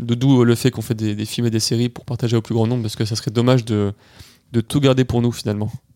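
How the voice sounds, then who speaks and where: A man speaks in a dark, mellow tone with monotone, flat intonation, captured in a very clean recording with a silent background. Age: 20s. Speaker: adventurer, polar expedition member. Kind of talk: casual interview.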